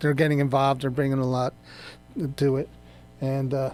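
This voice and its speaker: A man with an American accent speaks in a fairly high pitch. Music is heard in the background. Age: 60s. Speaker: radio co-host, garage owner. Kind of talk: casual radio chat.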